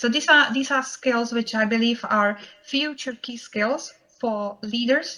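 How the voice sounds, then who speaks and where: A woman with a Czech accent speaks in a bright, sharp tone. Her pitch is fairly high and her intonation fairly even. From Czech Republic. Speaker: professional association chapter president, banker. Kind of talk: conference presentation. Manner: frequent hesitations (uh, um).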